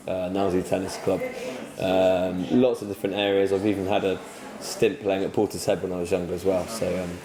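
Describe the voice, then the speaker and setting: A man with a fairly low-pitched voice talks over noticeable background noise. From southwest England (North Somerset, from age eight; early childhood in London). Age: 20s. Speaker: parliamentary candidate. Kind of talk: interview. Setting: coffee shop. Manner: hesitant, many fillers (um, sort of).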